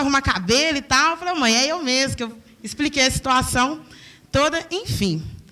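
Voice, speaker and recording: The voice is raised and projected, with an animated, bright, sharp tone. It moves at a fairly quick pace with ordinary pitch variation. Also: woman. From Belo Horizonte, Brazil. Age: 20s. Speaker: hair braider and entrepreneur. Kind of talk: talk to an audience.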